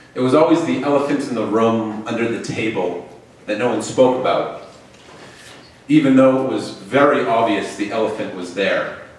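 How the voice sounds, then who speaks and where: In a recording with audible room echo and noticeable background noise, a man talks at a moderate pace with a medium pitch and ordinary pitch variation. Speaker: storyteller. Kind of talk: live storytelling. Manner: halting.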